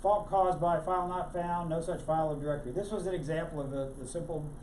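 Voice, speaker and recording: A fairly high-pitched man at a fairly quick pace, with audible room echo and noticeable background noise. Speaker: tech meetup presenter. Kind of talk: technical presentation. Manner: fast.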